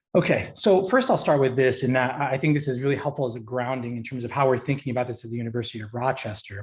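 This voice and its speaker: Talking at a very fast pace with hardly any pauses, a man keeps a medium pitch and fairly even intonation. His voice is somewhat breathy. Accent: American. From New York, Long Island. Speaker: university career education leader. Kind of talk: presentation.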